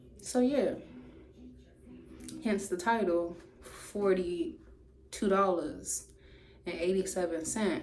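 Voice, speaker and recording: Speaking at a very slow pace with long, frequent pauses, a woman uses a medium pitch and lively intonation, and there is audible room echo. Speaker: YouTuber. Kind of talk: storytime monologue. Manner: loud.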